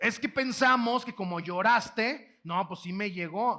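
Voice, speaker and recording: A man raises and projects his voice at a high pitch, with a bright, sharp tone. His delivery is animated, with lively intonation and a fairly slow pace. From Mexico, Guanajuato. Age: 20s. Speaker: motivational speaker. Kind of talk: keynote lecture to live audience. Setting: auditorium with audience. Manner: animated, repetitive false starts.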